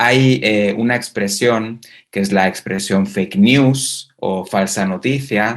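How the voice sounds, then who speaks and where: Delivery is at a very slow pace with ordinary pitch variation. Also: man, fairly low pitch for a man. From Spain. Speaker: university researcher. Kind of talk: conference talk. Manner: halting, many fillers.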